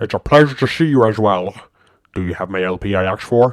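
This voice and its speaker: Speaking very fast, a man uses a put-on character voice at a fairly low pitch. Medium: audio drama. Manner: calm, friendly.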